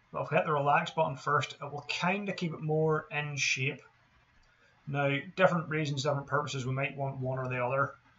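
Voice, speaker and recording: A man with fairly high pitch and fairly even intonation, with noticeable background noise. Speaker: 3D game artist. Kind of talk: tutorial. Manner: monotone.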